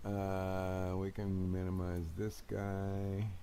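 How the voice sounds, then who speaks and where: There is audible room echo around a man whose voice has a dark, mellow tone. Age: 70s. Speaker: tech YouTuber, flight sim hobbyist. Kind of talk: screen-share tech troubleshooting demo. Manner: halting, many fillers.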